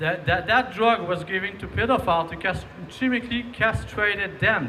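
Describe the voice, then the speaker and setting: Projecting a raised voice over noticeable background noise, a man with a Quebec accent speaks at a moderate pace, his pitch swinging very widely. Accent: Québécois French. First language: French. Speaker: rally speaker. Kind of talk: public speech. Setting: outdoor rally. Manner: halting, many repetitions.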